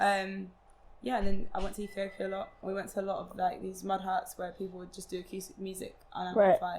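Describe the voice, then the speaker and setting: A woman with an English accent and a medium pitch, at a very fast pace, with monotone, flat intonation and big swings in loudness. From London, England. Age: young. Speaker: singer-songwriter. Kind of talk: interview answer.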